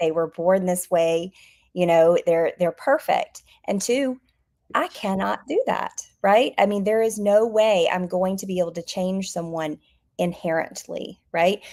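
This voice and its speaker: A woman with an Alabama accent speaks at a fairly slow pace in a medium pitch with ordinary variation. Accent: Southern US (Alabama) accent, retained. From US South, Alabama. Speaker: behaviour analyst, business founder. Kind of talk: interview. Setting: online live stream.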